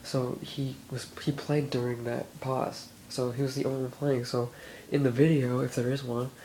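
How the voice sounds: The man has a dark, mellow tone with little pitch movement. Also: medium pitch for a man, moderate pace.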